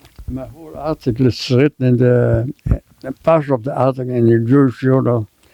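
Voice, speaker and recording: Speaking fairly quickly at a medium pitch, a man holds a monotone, flat intonation while his loudness swings widely. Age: 90s. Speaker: war veteran. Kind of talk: interview. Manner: halting.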